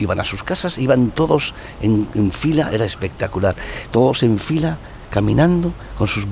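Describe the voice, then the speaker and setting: A man talks at a moderate pace and medium pitch, with lively intonation. Noticeable background noise can be heard. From Basque Country, Eibar (Gipuzkoa). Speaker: journalist and former TV presenter. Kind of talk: casual chat. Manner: halting.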